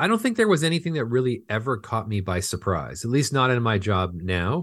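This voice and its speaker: In an American accent, a man speaks at a fairly quick pace with medium pitch and lively intonation against a quiet background. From Southern California. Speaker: film finance executive. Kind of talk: interview.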